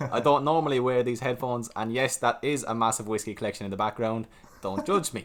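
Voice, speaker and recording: Talking at a very fast pace, a man has a medium pitch and ordinary pitch variation. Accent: Irish. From Ireland. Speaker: stock market YouTuber. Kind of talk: casual chat.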